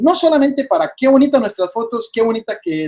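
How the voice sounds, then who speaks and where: Very wide pitch swings in a man's voice, with a dry, close sound and no echo. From Costa Rica. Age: 20s. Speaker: wildlife photographer. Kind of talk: presentation talk.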